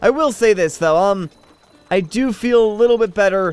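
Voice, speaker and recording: A man is speaking. His pace is moderate. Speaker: gaming commentator. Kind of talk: let's play commentary. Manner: monotone; low energy.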